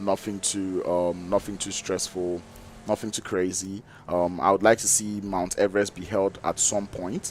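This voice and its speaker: Over music in the background, a man with a fairly low pitch speaks at a moderate pace in a monotone, flat intonation. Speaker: esports caster. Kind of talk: live commentary. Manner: loud; hesitant fillers.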